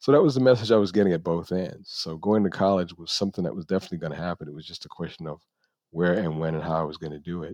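Against a quiet background, a man with an American accent talks very fast at a very deep, low pitch. His pitch varies in an ordinary way while his loudness swings widely. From New York (the Bronx). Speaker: lawyer. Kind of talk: interview. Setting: video call. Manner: soft-spoken.

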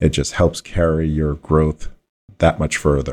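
The recording is dry and close with no echo. A man speaks at a fairly slow pace in a very deep, low, monotone, flat voice. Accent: American. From New York suburbs (Westchester County). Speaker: private equity partner. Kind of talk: casual business discussion.

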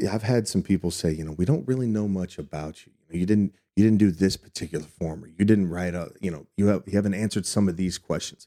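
A man talks at a very fast pace. His pitch is very deep and low, with ordinary variation. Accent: American. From Texas. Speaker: school board candidate. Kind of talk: interview.

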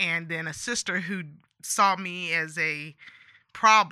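On a very clean recording with a silent background, a woman with an American accent speaks at a fairly slow pace in a fairly low voice with a bright, sharp tone. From California, San Joaquin Valley. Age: 50s. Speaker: life coach. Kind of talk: testimony. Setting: in person interview.

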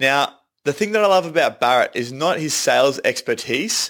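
On a very clean recording with a silent background, a man with an Australian accent speaks in a fairly high pitch with lively intonation. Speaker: podcast host. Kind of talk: casual interview and promo intro. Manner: upbeat.

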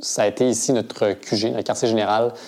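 Noticeable background noise sits behind a man speaking at a medium pitch. His intonation is fairly even and his pace fairly slow. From Quebec (Granby). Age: 20s. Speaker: cofounder of a ride-sharing cooperative. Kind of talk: interview.

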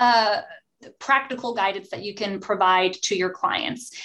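A woman's plain, everyday voice with an American accent, at a moderate pace. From New Jersey. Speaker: podcast host, attorney. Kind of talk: professional panel discussion.

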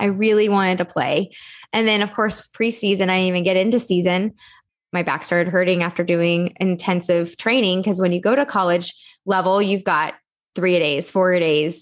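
A woman in a normal speaking voice, medium-pitched with an American accent, at a moderate pace with fairly even intonation and very even loudness, over a quiet background. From Texas. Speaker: entrepreneur, organization coach. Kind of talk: podcast interview.

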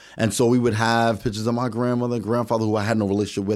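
Recorded very cleanly with a silent background, an ordinary speaking voice carries an American accent. Its intonation stays fairly even. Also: man. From New York City. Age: 40s. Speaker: podcast guest. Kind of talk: casual chat.

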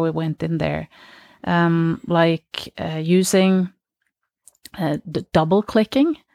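A woman's fairly low voice with a Norwegian accent, very slow pace and fairly even intonation, in a very clean recording with a silent background and a dry, close sound with no echo. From Norway. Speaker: polar explorer. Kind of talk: interview. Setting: studio.

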